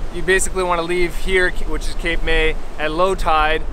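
Over light background noise, a man talks at a fairly slow pace in a monotone, flat intonation, the sound dry with no echo. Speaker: sailing vlogger. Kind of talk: casual vlog chat. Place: beach. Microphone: phone near.

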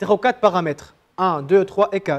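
A man's high voice at a moderate pace, with ordinary pitch variation. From Tunisia. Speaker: programming instructor. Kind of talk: live coding workshop. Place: classroom. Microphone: lapel.

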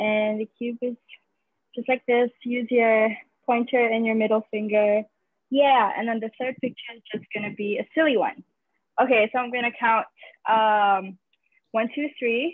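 A woman's fairly high voice at a moderate pace, fairly even in intonation, with long, frequent pauses, a dry sound with no echo and a quiet background. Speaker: team organizer. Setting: video call. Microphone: video call.

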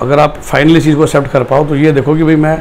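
With light background noise behind him, a man speaks in a flat monotone at a fairly high pitch. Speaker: career counselor. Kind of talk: educational video monologue. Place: office. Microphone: lapel.

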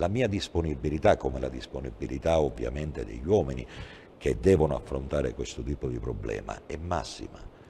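A man with a very deep, low pitch, vocal fry and a dark, mellow tone talks at a fairly quick pace with lively intonation over light background noise. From Sicily, Agrigento; Sicily. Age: 60s. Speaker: police chief; guest. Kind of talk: TV interview. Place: studio.

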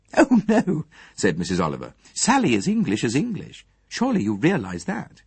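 The text is read in an unforced reading voice.

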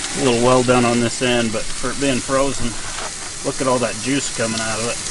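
At a fairly quick pace, a man talks at a medium pitch with clear background noise behind him.

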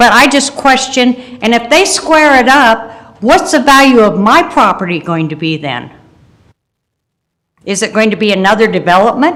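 A woman speaks in a fairly high pitch with an American accent. Her pitch swings very widely at a moderate pace. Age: 70s. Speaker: public commenter, local landowner. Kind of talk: public comment at county meeting. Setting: county boardroom meeting.

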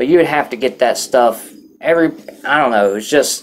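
Light noise sits in the background. A man talks over it. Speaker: vlogger recounting jail experience. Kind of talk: casual vlog chat. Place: home room.

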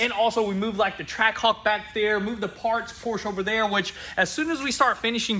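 A man speaks very fast in a raised, projected voice. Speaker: shop owner vlogger. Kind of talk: casual vlog chat. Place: garage.

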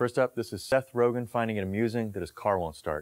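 Very fast speech comes from a man with ordinary pitch variation, set against a quiet background. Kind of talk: comedy impressions reel, direct to camera. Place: home room. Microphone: lapel.

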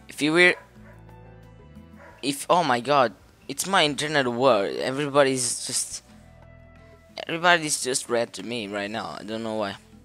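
Speaking at a moderate pace with ordinary pitch variation and long, frequent pauses, a man is heard in a dry sound with no echo and faint music in the background. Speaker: gamer commentator. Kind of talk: casual gameplay commentary. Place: home room.

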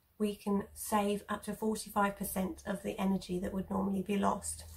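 The woman speaks with fairly even intonation. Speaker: home eco vlogger. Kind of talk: tutorial. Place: home room. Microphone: phone near.

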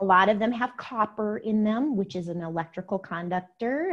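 Over a quiet background, a woman talks at a moderate pace with lively intonation. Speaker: guest. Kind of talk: interview answer. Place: home room. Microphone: lapel.

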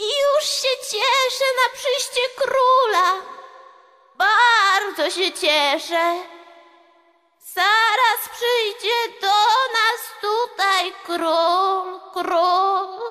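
Over music in the background, a woman uses a put-on character voice at an extremely high pitch, speaking very slowly with ordinary pitch variation. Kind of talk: stage play performance.

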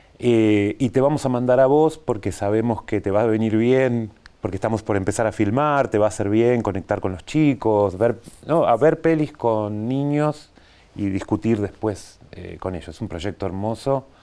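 With a dark, mellow tone and ordinary pitch variation, a man speaks at a moderate pace. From Buenos Aires, Argentina; Argentina. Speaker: animation filmmaker; TV interview guest. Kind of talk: interview. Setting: TV studio. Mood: relaxed, reflective. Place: studio.

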